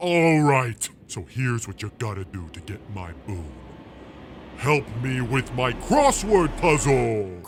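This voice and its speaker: In a put-on character voice, a man speaks at a fairly slow pace and medium pitch. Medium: audio drama. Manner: sassy, petulant.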